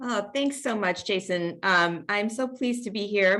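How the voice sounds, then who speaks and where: A woman's an unremarkable speaking voice, medium in pitch with ordinary pitch variation, in an American accent. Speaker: international development consultant. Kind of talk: webinar panel talk.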